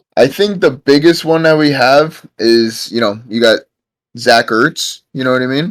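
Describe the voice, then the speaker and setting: Here a man talks at a fairly slow pace. His fairly high pitch shows ordinary variation. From New York. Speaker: podcast guest, football fan. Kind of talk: casual chat.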